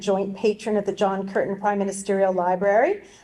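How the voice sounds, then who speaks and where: A woman with an American accent at a fairly quick pace, against noticeable background noise. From US, Colorado. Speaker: university vice-chancellor. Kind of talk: formal welcome speech.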